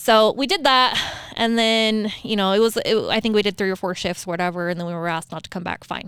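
A woman's normal speaking voice at a fairly quick pace, with ordinary pitch variation. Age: 30s. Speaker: nurse. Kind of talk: casual chat.

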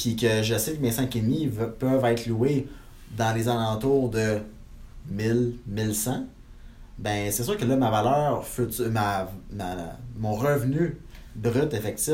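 Very slowly and with long, frequent pauses, a man speaks at a medium pitch in a somewhat breathy voice with a dark, mellow tone and ordinary pitch variation, as room echo can be heard. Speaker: real estate investor and broker. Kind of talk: interview.

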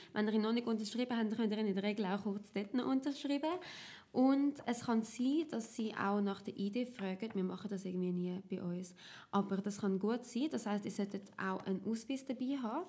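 The voice has a dark, mellow tone and is somewhat breathy. It moves along at a fairly quick pace. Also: woman, fairly high pitch for a woman, ordinary pitch variation. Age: 20s. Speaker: party youth activist. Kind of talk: tutorial.

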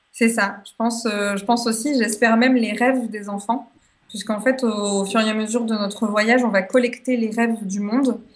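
Speaking at a fairly quick pace, a woman uses a flat, monotone delivery in a fairly high, somewhat breathy voice. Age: 20s. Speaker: association founder and traveller. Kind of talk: radio interview.

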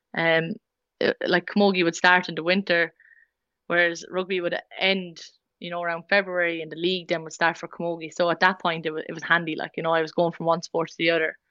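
A woman with an Irish Midlands accent talks very fast in a fairly low, monotone voice, her loudness rising and falling sharply. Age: 20s. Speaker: rugby player. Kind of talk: casual interview. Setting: remote call.

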